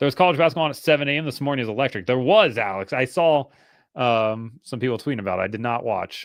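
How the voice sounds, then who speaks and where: A man's ordinary speaking voice with an American accent, at a fairly quick pace with lively intonation, against a quiet background. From northern US. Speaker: motorsport podcast host. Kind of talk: casual chat.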